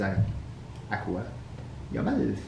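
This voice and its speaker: A man with a Quebec accent, talking at a fairly slow pace over noticeable background noise. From Quebec, Canada. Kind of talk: casual talk to camera.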